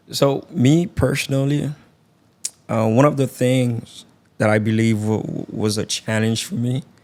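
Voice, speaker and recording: A man with a Haitian accent at medium pitch, speaking at a fairly slow pace with ordinary pitch variation. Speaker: podcast host. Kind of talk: interview.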